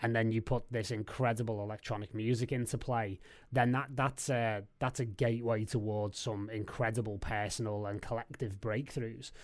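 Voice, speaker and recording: In a Liverpool accent, the speaker keeps a moderate pace with hardly any pauses and a monotone, flat intonation, on a very clean recording with a silent background. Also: man, medium pitch for a man. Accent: Liverpool (Scouse) English. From Liverpool, England. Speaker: DJ and record label head. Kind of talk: casual chat.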